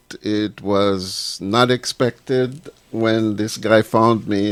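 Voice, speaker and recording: A man speaks with a Jamaican accent. His intonation is lively. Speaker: reggae musician. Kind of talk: casual chat. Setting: studio.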